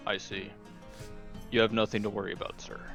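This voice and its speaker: A man does a put-on character voice at a very fast pace and a fairly low pitch. Clear music plays in the background. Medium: actual play. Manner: polite, formal.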